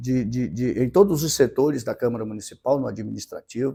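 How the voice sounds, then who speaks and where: A man with a medium-pitched, dark, mellow voice speaks at a fairly quick pace with ordinary pitch variation. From Maranhão, northeastern Brazil. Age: 50s. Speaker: city council president. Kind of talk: interview. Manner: halting, repeats words.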